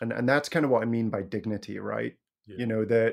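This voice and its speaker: A man with an Edinburgh accent against a quiet background. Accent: Scottish, Edinburgh area. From Scotland. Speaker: criminal justice reform advocate. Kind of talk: interview conversation.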